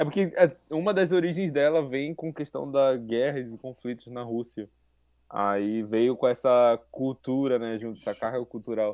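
A man talks fairly slowly at a medium pitch in a plain, everyday voice. His pitch varies in an ordinary way. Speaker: cook, gastronomy graduate. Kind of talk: casual chat.

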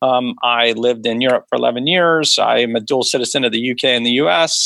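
Here a man with a medium pitch has an ordinary speaking voice and ordinary pitch variation. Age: 50s. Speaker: venture capitalist. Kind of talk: interview.

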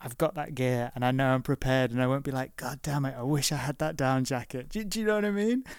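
Talking at a very fast pace with hardly any pauses, a man uses a medium pitch and ordinary pitch variation on a very clean recording with a silent background. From northwest England, Liverpool. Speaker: podcast host. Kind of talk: interview. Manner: halting, repeats words.

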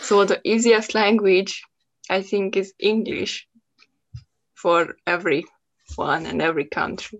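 A woman with a Hungarian accent speaks at a medium pitch with ordinary pitch variation. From Hungary. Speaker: podcast host, English learner. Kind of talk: casual chat. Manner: halting, hesitant, laughs often.

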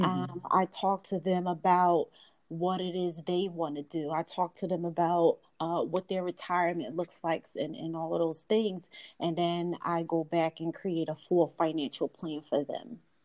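A woman speaks with a Philadelphia accent. The sound is dry and close with no echo, and the background is quiet. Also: fairly low pitch for a woman, fairly even intonation, moderate pace. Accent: Philadelphia American English. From US, Philadelphia (South Philly). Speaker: financial advisor. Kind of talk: casual interview.

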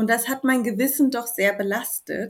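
With ordinary pitch variation and a somewhat breathy quality, this woman talks fairly slowly. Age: 30s. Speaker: new mother sharing birth story. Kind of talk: interview. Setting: remote recording in the evening.

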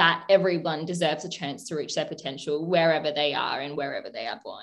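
A woman with an Australian accent. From Adelaide, South Australia. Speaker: podcast co-host, law postgraduate student. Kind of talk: casual educational chat.

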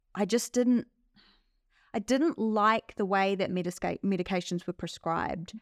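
A woman with a New Zealand accent speaks at medium pitch and a moderate pace, her pitch varying in an ordinary way, on a very clean recording with a silent background. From New Zealand (Palmerston North). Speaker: migraine sufferer sharing her story. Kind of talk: interview, personal testimony.

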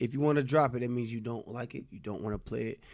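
The recording holds an unremarkable speaking voice. Its pitch varies in an ordinary way. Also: man. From US South, South Carolina (Nickeltown area). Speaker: podcast co-host, music reviewer. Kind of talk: casual chat.

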